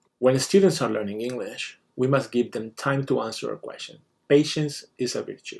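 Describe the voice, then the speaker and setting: With a Spanish accent, a man talks at a moderate pace with big swings in loudness. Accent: foreign accent (Spanish). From Spain. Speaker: teacher. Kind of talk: scripted presentation. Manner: formal.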